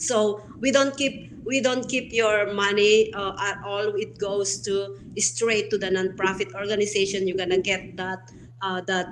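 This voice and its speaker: Over noticeable background noise, a woman talks at a moderate pace with a medium pitch and ordinary pitch variation. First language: not English. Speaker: founder of online show platform, show host. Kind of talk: interview conversation. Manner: hesitant, many fillers.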